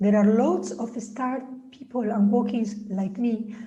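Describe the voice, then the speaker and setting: Amid audible room echo, a woman speaks slowly-ish at a fairly slow pace, her pitch fairly high and her intonation fairly even. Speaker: author and spiritual healer. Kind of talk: reading aloud. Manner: droning.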